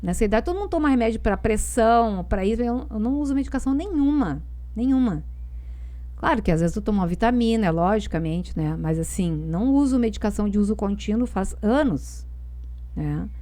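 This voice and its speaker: Audible room echo fills the space. In it, a woman talks at a moderate pace. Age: 60s. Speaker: tai chi and Chinese body practices specialist. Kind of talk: casual interview chat.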